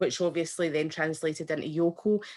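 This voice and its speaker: A woman speaks in a Scottish accent. Her pace is fairly quick. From Scotland. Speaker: event attendee asking a question. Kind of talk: question at online event.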